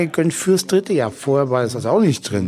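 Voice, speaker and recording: Noticeable background noise sits behind a man talking at a medium pitch with ordinary pitch variation. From Franconia, Germany. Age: 40s. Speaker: telephone sales consultant and online marketer. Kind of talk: interview. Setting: hotel during a seminar.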